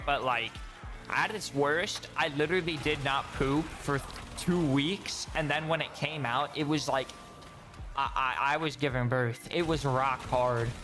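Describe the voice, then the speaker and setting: With music playing in the background, a man speaks at a fairly slow pace in a fairly high pitch. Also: fairly even intonation. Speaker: gaming streamer. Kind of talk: casual chat. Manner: casual, trips over words.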